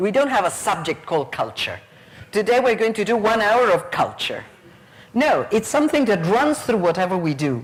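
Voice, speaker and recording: A woman with an Argentine accent speaks at a moderate pace and a fairly high pitch, her voice making very wide pitch swings at a very even loudness. Noticeable background noise runs underneath. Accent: Argentinian Spanish accent in Spanish. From Argentina. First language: Spanish. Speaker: teacher trainer, conference speaker. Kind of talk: conference plenary talk.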